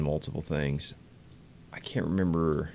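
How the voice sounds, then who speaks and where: Here is a man speaking. His pitch is very deep and low. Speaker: game streamer. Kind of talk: live gameplay stream chat. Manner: casual, conversational.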